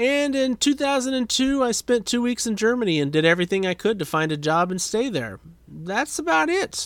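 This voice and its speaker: With very wide swings in pitch, a man talks at a moderate pace on a very clean recording where the background is silent. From US Midwest, Saint Paul, Minnesota. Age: 40s. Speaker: podcast host. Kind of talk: casual monologue. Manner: dry, self-deprecating.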